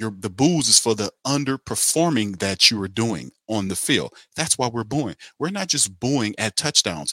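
A man speaks at a moderate pace with a medium pitch, a bright, sharp tone and lively, animated intonation. The recording is very clean and dry, close with no echo and a silent background. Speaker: sports talk show host. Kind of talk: sports talk monologue with a rant. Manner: animated, fired-up; sarcastic, exasperated, loud.

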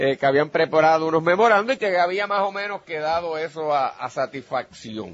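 An ordinary speaking voice at a moderate pace, with hardly any pauses. The intonation is lively. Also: man, fairly high pitch for a man. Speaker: radio host and lawyer. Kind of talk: radio political analysis. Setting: remote broadcast at a pharmacy.

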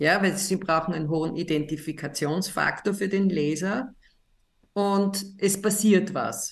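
Intonation stays fairly even for this woman. She talks at a fairly slow speed. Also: medium pitch for a woman. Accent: Austrian. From Austria, Linz. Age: 60s. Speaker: psychiatrist and author. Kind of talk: interview.

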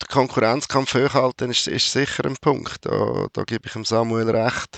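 A man talks at a fairly slow pace. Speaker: football journalist. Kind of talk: casual chat.

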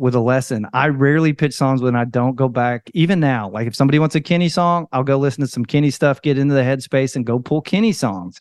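An unremarkable speaking voice with ordinary pitch variation over a quiet background. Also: man, dry, close sound with no echo. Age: 50s. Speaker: podcast host and music publisher. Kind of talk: casual interview.

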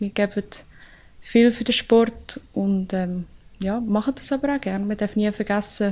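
A woman's fairly high voice at a fairly slow pace, fairly even in intonation, with long, frequent pauses. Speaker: ice hockey player. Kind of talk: casual interview.

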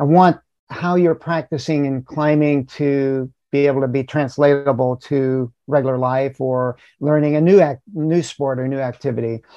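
With fairly even intonation and a fairly high pitch, a man talks at a moderate pace in an unremarkable speaking voice. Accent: American. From US South. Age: 60s. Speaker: rock climber and mental coach. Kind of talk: interview.

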